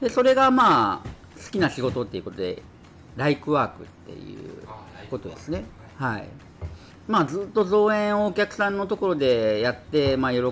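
Over music in the background, a man speaks in a high pitch with very wide pitch swings and big swings in loudness. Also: moderate pace. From Kyushu. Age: 50s. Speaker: landlord and investment mentor. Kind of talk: casual interview.

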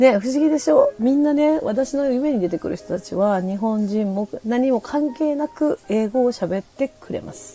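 A high-pitched woman's voice with lively intonation, moderate pace and hardly any pauses, over music in the background. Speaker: podcast host. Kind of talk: casual livestream talk. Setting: livestream from home. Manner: chatty with many fillers.

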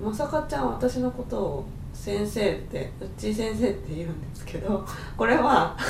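Amid noticeable background noise and audible room echo, a woman speaks at a moderate pace in a medium pitch, with very wide pitch swings. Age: 30s. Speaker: aromatherapist and podcast co-host. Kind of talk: casual chat.

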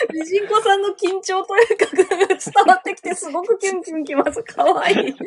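Against noticeable background noise, a woman with an extremely high pitch speaks at a moderate pace, showing ordinary pitch variation and big swings in loudness. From Hokkaido, Japan. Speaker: manga artist. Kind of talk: casual chat.

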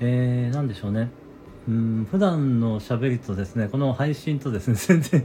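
This man's voice sits at a medium pitch, showing ordinary pitch variation as he speaks at a moderate pace. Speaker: neurotherapist and audio-app show host. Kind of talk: solo casual talk broadcast. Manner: hesitant with many fillers.

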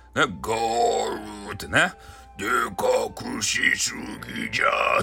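Man in a put-on character voice at a very slow pace, with clear background noise. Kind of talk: storytelling.

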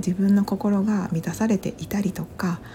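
Over noticeable background noise, a woman mumbles in a whisper. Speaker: podcaster. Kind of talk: casual monologue. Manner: whispering; mumbling.

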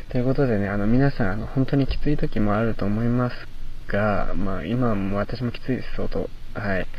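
Audible room echo carries a man's medium-pitched voice as he talks at a fairly quick pace with ordinary pitch variation. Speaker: university student radio host. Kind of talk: solo talk. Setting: outdoors in a park at night.

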